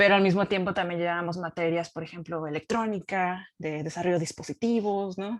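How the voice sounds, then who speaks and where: With a Baja California accent, a woman speaks at a medium pitch. Her pace is fairly quick. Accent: Baja California Mexican Spanish. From Mexico, Baja California (Ensenada). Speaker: scientist. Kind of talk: talk at a forum. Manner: casual with many fillers.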